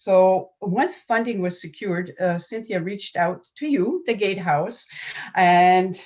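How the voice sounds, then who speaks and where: In a French accent, a woman speaks at a very slow pace. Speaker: nonprofit program manager. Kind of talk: conference presentation.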